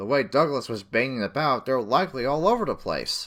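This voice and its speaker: A man puts on a character voice at medium pitch, talking at a fairly quick pace. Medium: read story.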